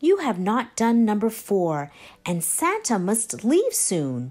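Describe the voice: Using a put-on character voice with very wide pitch swings, a woman speaks at a slow pace in a slightly mellow tone. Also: medium pitch for a woman.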